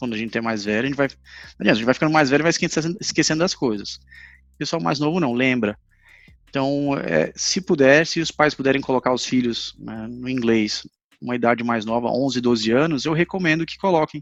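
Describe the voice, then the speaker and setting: A man's medium-pitched voice with lively intonation and music in the background. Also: fairly quick pace. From Brazil, Recife. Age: 30s. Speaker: English teacher. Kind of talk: casual interview chat. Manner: halting.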